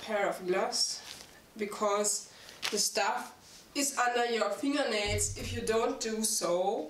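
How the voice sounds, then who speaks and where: A woman speaks very slowly, pitch varying in an ordinary way, while noticeable background noise carries on. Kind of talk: tutorial. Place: home room.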